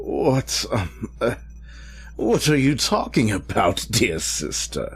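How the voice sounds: A man performs a put-on character voice at medium pitch with a fairly bright tone. He talks slowly, with very wide pitch swings.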